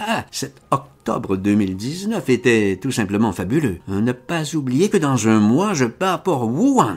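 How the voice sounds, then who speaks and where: Speaking at medium pitch with very wide pitch swings, a man goes at a very slow pace with hardly any pauses. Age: 70s. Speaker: author reading his own tale. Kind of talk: reading aloud.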